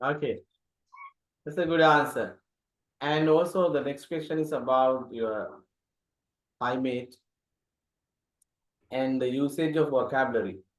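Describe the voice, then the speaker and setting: A man with a Sri Lankan accent speaks at a fairly slow pace and fairly high pitch, with fairly even intonation and long, frequent pauses. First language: Sinhala. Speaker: English teacher. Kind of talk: interview questions.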